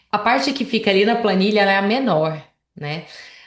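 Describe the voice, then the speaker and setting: Against a quiet background, a woman speaks at a moderate pace with medium pitch and ordinary pitch variation. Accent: Goiânia. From Goiás, central Brazil (Goiânia). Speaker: financial planner. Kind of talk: presentation in a conversation.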